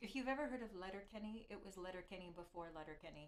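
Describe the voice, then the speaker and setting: A woman with a Canadian accent, fairly low in pitch, with ordinary pitch variation and audible room echo. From Canada. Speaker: violinist streamer. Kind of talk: live stream chat. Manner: loud; halting.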